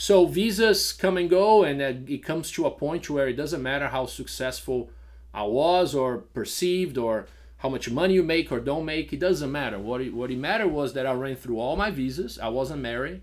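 With a slight Brazilian accent, a man speaks at a moderate pace in a fairly high voice with lively intonation. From Brazil (São Paulo). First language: Portuguese. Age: 40s. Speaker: restaurant and bar owner. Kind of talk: casual interview.

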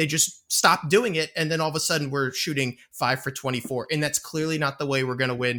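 A man's bright, sharp voice in a Philadelphia accent, fairly high in pitch, fairly quick, with fairly even intonation. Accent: Philadelphia-area, noticeable. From near Philadelphia. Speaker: podcast co-host. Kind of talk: sports podcast discussion.

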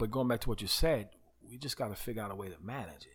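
A man with a fairly low pitch talks fairly quickly in a somewhat breathy voice. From New York (Queens, Uniondale, Long Island). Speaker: pastor. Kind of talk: casual interview.

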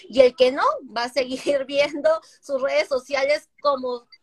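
A woman with a high pitch speaks at a fairly slow pace and ordinary pitch variation, the sound dry and close with no echo. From Peru. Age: 30s. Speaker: digital marketer and entrepreneur. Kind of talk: casual interview chat. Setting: live stream.

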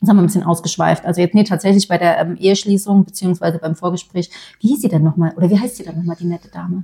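A woman talks at a very fast pace with fairly even intonation and a fairly low pitch, her tone dark, mellow and somewhat breathy. The sound is dry and close with no echo. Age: 30s. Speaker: podcast co-host, influencer. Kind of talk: casual chat.

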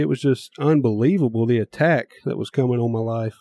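A man with a Mississippi accent talks at a fairly quick pace, his pitch varying in an ordinary way. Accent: Southern US (Mississippi). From US South, small-town Mississippi. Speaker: podcast host. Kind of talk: testimony.

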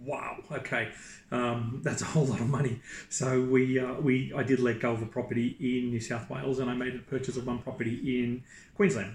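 Noticeable background noise sits under a man speaking at a moderate pace with a medium pitch and fairly even intonation. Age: 40s. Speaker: property investor and executive recruiter. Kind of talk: interview. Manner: halting.

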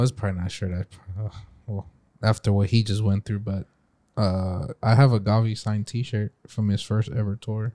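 On a very clean recording with a silent background, a man with an ordinary speaking voice talks fairly quickly at a fairly low pitch, his intonation fairly even. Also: dry, close sound with no echo. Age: 20s. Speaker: podcast co-host. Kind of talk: casual chat.

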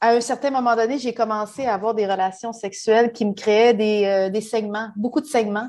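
In a quiet background, a woman with a fairly high pitch talks at a moderate pace, hardly pausing at all. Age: 40s. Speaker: human resources professional. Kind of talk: personal testimony. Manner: halting.

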